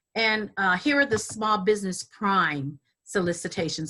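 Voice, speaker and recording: Bright and sharp in tone, a woman's medium-pitched voice moves at a moderate pace with ordinary pitch variation. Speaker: transit agency small business outreach staff. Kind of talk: webinar presentation.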